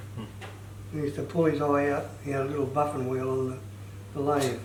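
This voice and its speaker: Fairly high-pitched man at a fairly quick pace, ordinary pitch variation, noticeable background noise. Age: 80s+. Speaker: retired joiner. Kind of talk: instructional talk, saw sharpening lesson.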